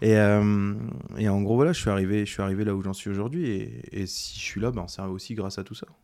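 A man talks at a fairly quick pace in a fairly low, dark and mellow voice with ordinary pitch variation. Audible room echo surrounds him. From Ardennes, France. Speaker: chef, cooking show winner. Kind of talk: casual interview.

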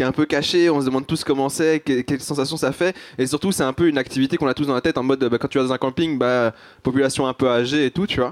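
A man with a fairly high pitch talks very fast in a dry, close sound with no echo. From Belgium, Brussels. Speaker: comedian. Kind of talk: live panel discussion.

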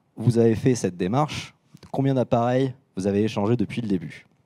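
A man's dark, mellow tone at medium pitch, with ordinary pitch variation and a fairly quick pace. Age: 20s. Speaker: repair business founder and speaker. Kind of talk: conference talk.

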